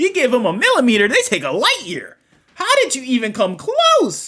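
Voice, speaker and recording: The speaker uses a put-on character voice and keeps a moderate pace. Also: female-sounding voice, high pitch for a woman. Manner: exasperated.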